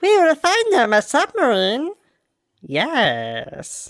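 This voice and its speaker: The speaker puts on a character voice with a high pitch. Each word comes at a very slow pace. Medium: actual play. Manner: sly, broken grammar.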